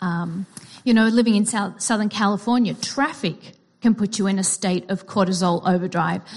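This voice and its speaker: A medium-pitched woman with an Australian accent. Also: ordinary pitch variation, moderate pace. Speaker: psychology teacher and therapist. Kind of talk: sermon.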